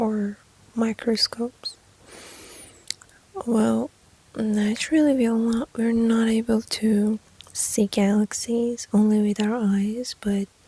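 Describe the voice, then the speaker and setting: A gentle tone at a very slow pace over noticeable background noise. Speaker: ASMR creator. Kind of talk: ASMR whisper-style personal attention talk. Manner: soft-spoken, gentle.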